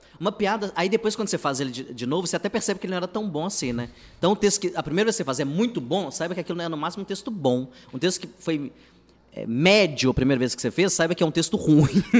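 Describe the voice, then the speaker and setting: This man talks at a very fast pace in a high voice. His intonation is lively. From Minas Gerais, Contagem (Belo Horizonte area). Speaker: stand-up comedian. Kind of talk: casual interview chat.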